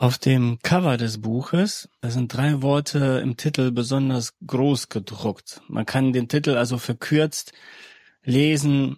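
At a fairly slow pace, a man speaks with a medium pitch, a slightly mellow tone and fairly even intonation.

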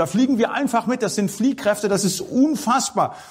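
Using lively intonation, a man talks at a moderate pace.

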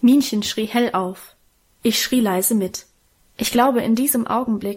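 The clip is reading aloud in a natural voice with ordinary pitch variation.

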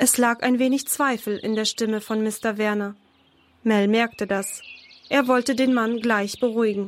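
This woman's voice is fairly high in pitch. She speaks at a fairly slow pace with fairly even intonation.

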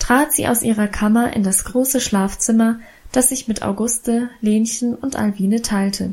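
Just plain reading aloud

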